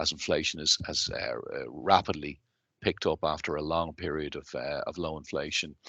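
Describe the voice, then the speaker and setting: A man with a Dublin accent at a moderate pace, against a quiet background. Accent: Irish (Dublin). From Ireland, Dublin. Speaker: company chief executive. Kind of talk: interview.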